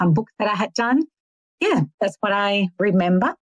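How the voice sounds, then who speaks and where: With an Australian accent, this voice shows ordinary pitch variation in a dry, close sound with no echo. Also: woman. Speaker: author. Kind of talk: interview. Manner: halting, repeats words.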